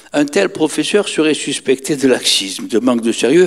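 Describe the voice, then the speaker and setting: Against a quiet background, a man talks at a fairly slow pace. His pitch swings very widely. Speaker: education researcher and speaker. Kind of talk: lecture. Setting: lecture hall with audience. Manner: animated. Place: stage. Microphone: handheld.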